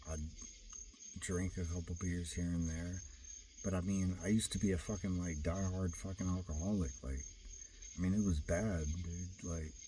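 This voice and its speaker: A man talks in a very deep, low voice, somewhat breathy and dark, mellow in tone, at a moderate pace. His intonation is fairly even, he takes long, frequent pauses, and room echo is audible. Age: 40s. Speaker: vlogger. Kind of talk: personal monologue. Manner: rambling with many fillers.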